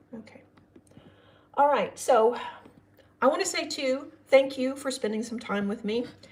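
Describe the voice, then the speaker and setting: A woman's voice carries ordinary pitch variation against noticeable background noise. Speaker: astrology reader. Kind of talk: live stream astrology reading. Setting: live stream. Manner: casual, chatty.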